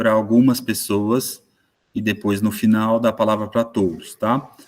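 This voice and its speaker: Flat, monotone intonation marks this clip. The speaker is a man. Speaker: moderator, sports management professor. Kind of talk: online panel moderation. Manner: slow, deliberate.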